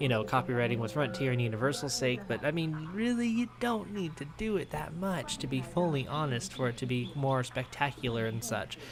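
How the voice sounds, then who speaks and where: Over noticeable background noise, a man speaks at a medium pitch with lively intonation and hardly any pauses. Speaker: gaming YouTuber. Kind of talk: let's play commentary. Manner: casual, conversational; halting, stumbling.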